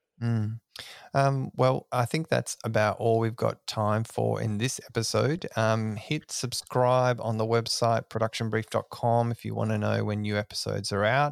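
The sound is dry and close, with no echo, as a man talks in an Australian accent. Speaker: podcast host. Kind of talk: casual interview chat.

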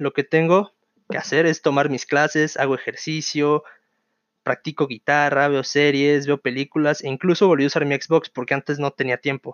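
Using a normal speaking voice, a man talks at a fairly quick pace with fairly high pitch and fairly even intonation. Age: 20s. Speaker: podcast host, university student. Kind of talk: casual solo podcast monologue.

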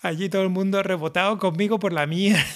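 Talking at a fairly quick pace, a man speaks in a high pitch. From Canary Islands, Las Palmas (La Isleta). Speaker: solo podcaster. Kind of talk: casual monologue.

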